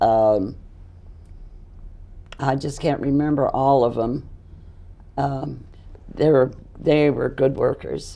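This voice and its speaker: A woman's very deep, low voice, dark and mellow in tone, at a very slow pace with fairly even intonation and long, frequent pauses. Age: 80s+. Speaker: political campaign volunteer. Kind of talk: interview answer.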